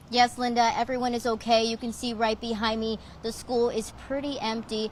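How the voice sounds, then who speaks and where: Over noticeable background noise, a woman with an American accent talks at a fairly quick pace in a fairly high pitch. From Texas, McAllen. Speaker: TV news reporter. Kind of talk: live news report. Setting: outdoors on location.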